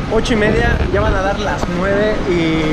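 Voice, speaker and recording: Loud background noise runs behind a man as he speaks. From Mexico. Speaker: travel vlogger. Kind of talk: casual travel vlog talk to camera. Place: station. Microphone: phone near.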